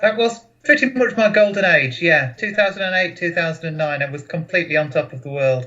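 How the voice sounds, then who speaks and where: A man with a high pitch talks at a fairly quick pace with hardly any pauses, his pitch swinging very widely and his loudness swinging a lot. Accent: English. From England, Boston, Lincolnshire. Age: 30s. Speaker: memory champion, financial analyst. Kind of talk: casual interview. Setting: video call.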